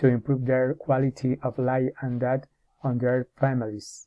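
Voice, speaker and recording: A man in a Spanish accent, medium pitch, fairly slow pace, monotone and flat intonation. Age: 40s. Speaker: English teacher in training. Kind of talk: prepared self-presentation. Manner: halting, with many hesitations and restarts.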